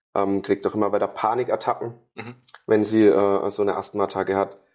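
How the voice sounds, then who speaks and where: Words come at a fairly brisk clip. Behind them is silence, and the sound is very clean. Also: man. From Karlsruhe, southwest Germany. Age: 20s. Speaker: sports therapist. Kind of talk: interview.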